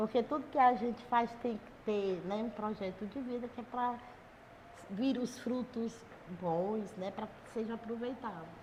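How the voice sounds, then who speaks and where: At a fairly slow pace, a woman with a fairly high pitch speaks with fairly even intonation and big swings in loudness against noticeable background noise. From Brazil, Ceará (Guaiúba). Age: 70s. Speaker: local community figure. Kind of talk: interview.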